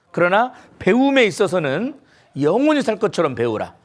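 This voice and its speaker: On a very clean recording with a silent background, a man speaks at a moderate pace in a high pitch. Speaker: pastor. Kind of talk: sermon.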